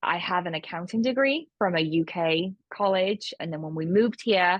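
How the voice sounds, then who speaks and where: A woman of medium pitch speaks with a British accent. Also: ordinary pitch variation, moderate pace. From United Kingdom. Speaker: accountant and bookkeeping business owner. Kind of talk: online course presentation, conversational.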